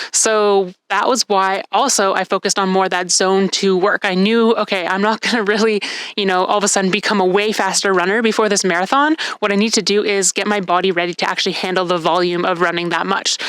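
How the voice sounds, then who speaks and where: Very fast delivery with very even loudness and fairly even intonation, noticeable background noise throughout. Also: woman, medium pitch for a woman. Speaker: CrossFit athlete and vlogger. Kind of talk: casual vlog recap. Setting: outdoors on a deck.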